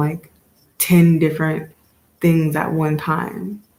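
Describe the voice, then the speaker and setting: The woman's voice sits at a fairly low pitch. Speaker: tarot reader and motivational vlogger. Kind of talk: casual motivational monologue. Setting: home video recording. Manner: halting, long pauses; casual, filler-heavy.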